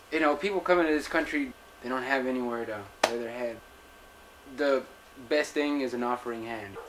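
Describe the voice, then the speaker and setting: Over noticeable background noise, a man with an American accent talks at a fairly quick pace and medium pitch, with long, frequent pauses. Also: ordinary pitch variation. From Texas, Laredo. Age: 20s. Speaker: interviewee. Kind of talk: interview testimony.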